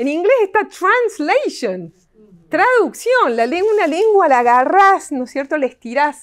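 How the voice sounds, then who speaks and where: In a quiet background, a woman speaks fairly slowly at an extremely high pitch, swinging very widely in pitch. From Argentina. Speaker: literature professor. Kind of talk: lecture. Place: hall. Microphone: camera far.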